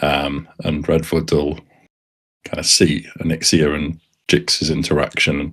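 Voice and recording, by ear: A man speaks at an extremely low pitch and a fairly slow pace, his flat, monotone delivery carrying a fairly bright tone with a slightly husky edge.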